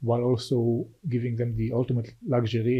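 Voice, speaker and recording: Speaking with an Israeli accent, a man uses a medium pitch and sounds somewhat breathy. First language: Hebrew. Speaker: venture capital investor. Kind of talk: podcast interview. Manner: halting, many repetitions.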